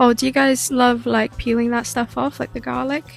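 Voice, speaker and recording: There is music in the background. Over it, a woman talks. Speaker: cooking vlogger. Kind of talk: cooking vlog voiceover. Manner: casual, hesitant with fillers.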